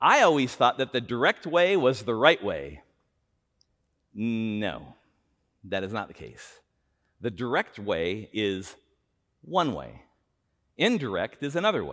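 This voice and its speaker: A loud man with vocal fry and an animated tone talks at a medium pitch with very wide pitch swings, at a fairly slow pace with long, frequent pauses. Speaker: pastor. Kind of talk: sermon. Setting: church. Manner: animated, loud gestures.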